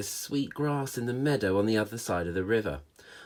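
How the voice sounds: This recording presents a natural reading voice.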